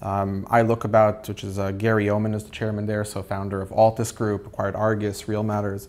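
This man talks at a fairly quick pace with hardly any pauses. His fairly low voice stays in a flat monotone. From Israel. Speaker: startup founder. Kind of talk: roundtable interview. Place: office. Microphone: lapel.

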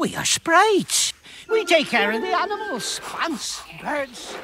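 This cartoonish character voice sits at an extremely high pitch, with very wide pitch swings and a fairly slow pace. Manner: sweet, then menacing.

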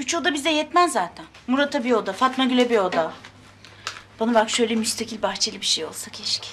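A woman speaks at a fairly quick pace in a high voice, with light background noise. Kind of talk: acted drama dialogue. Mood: annoyed, defiant. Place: kitchen.

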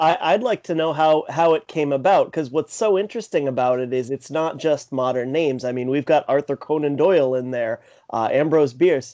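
A man with a fairly high pitch and a dark, mellow tone talks at a fairly quick pace with hardly any pauses. His pitch varies in an ordinary way over a quiet background. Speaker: podcast co-host. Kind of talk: interview. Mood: friendly, curious. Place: home room. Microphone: studio mic.

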